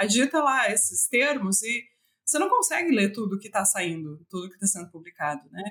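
A woman speaks at a medium pitch with a bright, sharp tone, a fairly quick pace, very wide pitch swings and big swings in loudness. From Brazil, western Santa Catarina. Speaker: animal science professor and researcher. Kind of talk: interview.

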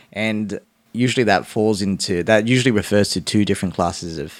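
Speaking very fast with an Australian accent, a man uses ordinary pitch variation on a very clean recording with a silent background. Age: 20s. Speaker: lawyer. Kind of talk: casual chat.

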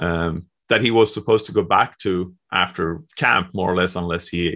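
A man speaks with a Swedish accent and ordinary pitch variation. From Sweden. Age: 40s. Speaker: hockey journalist. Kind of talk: casual chat.

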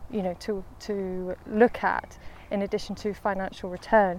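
The speaker talks at a moderate pace in a flat monotone. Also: woman. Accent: Lancashire. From northern England, Lancashire. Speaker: head of investments at a wealth manager. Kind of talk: casual interview on a walk. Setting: outdoors, walking in a park.

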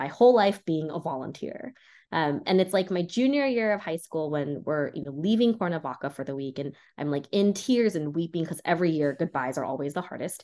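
Against a quiet background, a woman with a Californian accent talks at a moderate pace and fairly low pitch, with lively intonation. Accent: General American, California. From Los Angeles, US, Korean immigrant family. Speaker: state legislator and civic organizer. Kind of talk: interview, casual chat.

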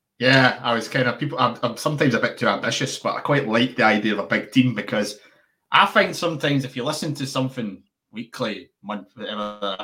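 Fairly quick and bright, sharp in tone, a man speaks at a medium pitch with ordinary pitch variation. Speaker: podcast producer. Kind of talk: casual interview chat. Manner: slips into put-on accents when thinking.

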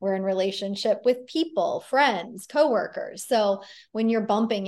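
Speaking at a fairly slow pace, a woman with a fairly high pitch uses ordinary pitch variation, captured on a very clean recording with a silent background. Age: 40s. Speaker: life coach. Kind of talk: casual chat.

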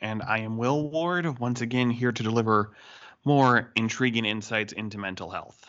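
Speaking at a moderate pace, a man has an unremarkable speaking voice. His pitch is medium, with ordinary pitch variation. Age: 20s. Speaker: church podcast co-host. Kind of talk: casual chat.

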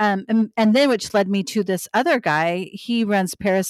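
An unremarkable speaking voice at a moderate pace, with ordinary pitch variation and a dry, close sound with no echo. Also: woman. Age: 40s. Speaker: podcast co-host. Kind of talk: casual chat.

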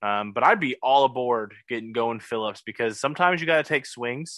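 A man with a plain, everyday voice, medium pitch and a moderate pace. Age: 20s. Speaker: sports podcast co-host. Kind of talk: casual chat.

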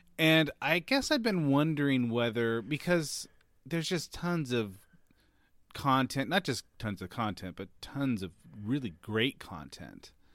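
In a normal speaking voice at a medium pitch, a man talks at a fairly slow pace with lively intonation, captured in a very clean recording against a silent background. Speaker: podcast host. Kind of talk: casual chat.

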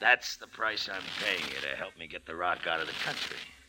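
A man uses a put-on character voice, gravelly and very deep in pitch. He speaks at a fairly quick pace with big swings in loudness over clear background noise. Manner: sly, chummy, slangy.

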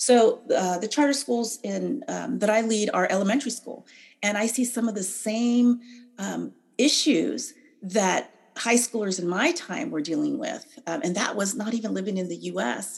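A woman with an American accent speaks at a fairly high pitch with vocal fry. Her intonation is lively. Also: moderate pace. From California. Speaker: political candidate and educator. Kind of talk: interview. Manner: halting.

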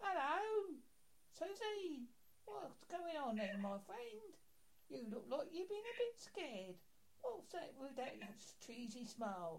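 A woman's put-on character voice, high-pitched with very wide pitch swings, fairly slow with long, frequent pauses, over light background noise. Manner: creepy, jokey, taunting.

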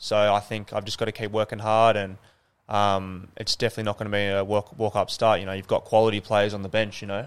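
Over a very clean recording with a silent background, a man with an Australian accent talks at a fairly quick pace, his fairly low voice in a monotone, flat intonation. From Sydney, Northern Beaches. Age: young. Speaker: professional footballer. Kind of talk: casual interview. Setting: stadium tunnel.

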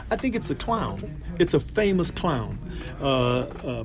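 With an American accent, a man talks through noticeable background noise, and audible room echo surrounds his voice. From South Central Los Angeles. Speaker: lead singer. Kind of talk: casual interview. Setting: backstage before concert. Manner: halting.

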